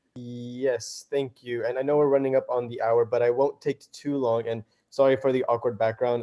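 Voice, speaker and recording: Speaking at a fairly quick pace, a man with a medium-pitched voice keeps a monotone, flat intonation. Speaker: civil rights advocate. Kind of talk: presentation on video call. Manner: fast; hesitant, many fillers.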